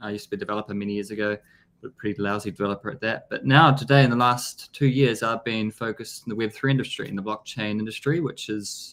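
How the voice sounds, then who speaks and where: A man talks at a very fast pace with a strong New Zealand accent. His intonation stays fairly even. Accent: thick New Zealand. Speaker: blockchain business development executive. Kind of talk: interview. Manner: hesitant, many fillers.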